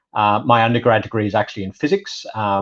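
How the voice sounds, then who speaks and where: A man with a British accent speaks at medium pitch and a very fast pace. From UK. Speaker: data privacy specialist. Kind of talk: webinar presentation.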